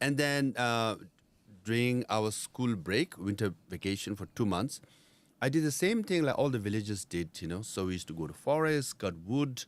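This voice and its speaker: With a Nepali accent, a man speaks at a medium pitch and a moderate pace, using lively intonation on a very clean recording with a silent background. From India, Darjeeling (Tibetan refugee community). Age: 50s. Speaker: former Tibetan exile political leader. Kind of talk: interview. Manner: conversational, frequent fillers.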